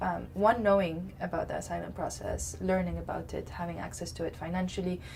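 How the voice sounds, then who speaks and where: A woman talks at a moderate pace, her voice carrying audible room echo amid noticeable background noise. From Lebanon. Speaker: community organizer. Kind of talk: interview. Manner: halting, many fillers.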